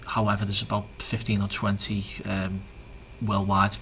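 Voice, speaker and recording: Noticeable background noise sits behind a man speaking in a Liverpool accent. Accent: Liverpool (Scouse). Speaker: SEO business owner. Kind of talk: tutorial. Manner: halting, many fillers and repeats.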